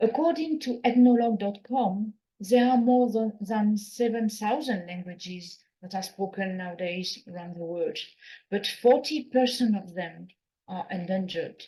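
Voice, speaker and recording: With a French accent, a dark, mellow, somewhat breathy voice speaks at a moderate pace, showing ordinary pitch variation and big swings in loudness. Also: woman, fairly high pitch for a woman. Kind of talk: conference keynote talk. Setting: conference hall.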